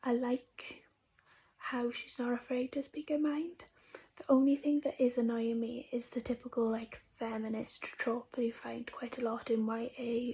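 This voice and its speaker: A quiet, high-pitched woman's voice at a fairly slow pace, monotone and flat. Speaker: book youtuber. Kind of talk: casual vlog review.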